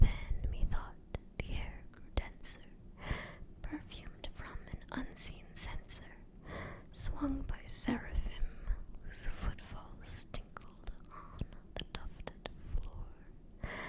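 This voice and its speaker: Whispering from a woman at a very slow pace, broken by long, frequent pauses, with big swings in loudness. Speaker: ASMR artist. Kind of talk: poetry reading. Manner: soft-spoken, whispered.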